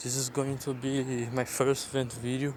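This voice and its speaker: Noticeable background noise runs behind a man speaking with a Portuguese accent. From Brazil. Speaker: content creator. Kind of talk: vent video. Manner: halting.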